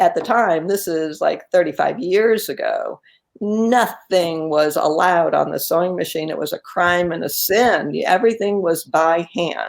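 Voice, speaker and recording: At a fairly slow pace, a woman speaks with hardly any pauses. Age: 60s. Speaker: quilter and author. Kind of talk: casual interview. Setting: live video stream.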